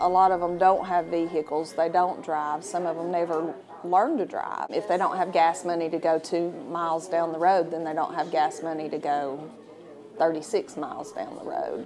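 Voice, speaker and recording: Over noticeable background noise, a woman speaks at a moderate pace and a fairly low pitch in a flat monotone. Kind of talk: interview answer. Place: cafe. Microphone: lapel.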